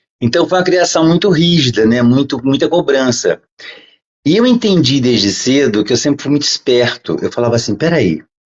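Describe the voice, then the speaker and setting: An unremarkable speaking voice from a man, fairly high in pitch, with lively intonation, very even loudness and a moderate pace. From Brazil. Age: 60s. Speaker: podcast guest. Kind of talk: interview storytelling.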